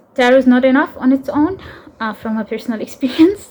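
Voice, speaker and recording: A woman's pitch moves in an ordinary way, and noticeable background noise can be heard. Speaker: tarot content creator and interdisciplinary artist. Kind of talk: personal vlog monologue. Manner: halting, many fillers and repetitions.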